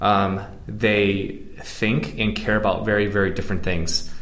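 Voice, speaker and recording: A man speaks at a fairly low pitch. His is a plain, everyday voice. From US (moved from Beijing at nine). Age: 30s. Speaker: product manager, digital nomad. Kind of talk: interview. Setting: in Prague.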